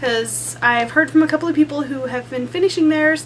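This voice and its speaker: A woman talks at a very fast pace. Noticeable background noise runs beneath her. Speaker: embroidery crafter. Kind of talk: casual talk to camera.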